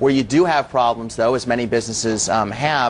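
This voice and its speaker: With an American accent, a man speaks at a fairly quick pace and medium pitch. There is noticeable background noise. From United States. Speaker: company chief executive. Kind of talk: TV interview.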